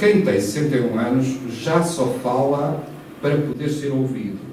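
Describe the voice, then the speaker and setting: A man speaks at a moderate pace with ordinary pitch variation. Audible room echo and noticeable background noise fill the recording. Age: 60s. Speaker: politician. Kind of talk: public talk interview with debate. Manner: animated; halting.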